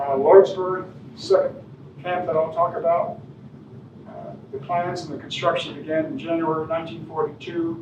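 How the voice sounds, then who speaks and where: A man speaks at a moderate pace in a high voice, his intonation fairly even but his loudness swinging widely, with noticeable background noise and audible room echo. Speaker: guest speaker on local history. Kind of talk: public lecture with slides. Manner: soft-spoken; hesitant, many fillers. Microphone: no microphone, hard to hear.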